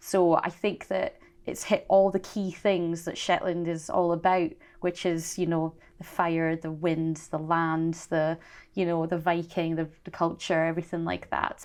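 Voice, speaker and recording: Over a quiet background, a woman speaks at a fairly slow pace with a fairly low pitch and monotone, flat intonation. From Shetland, Scotland. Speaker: singer. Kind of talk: interview answer. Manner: sincere, quiet.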